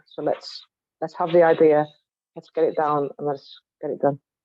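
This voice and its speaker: A woman with a Cumbrian accent speaks at a very deep, low pitch and a moderate pace, in a monotone, flat intonation. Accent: Cumbrian accent, commented on. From West Cumbria, England. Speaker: spoken word poet. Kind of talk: online panel discussion.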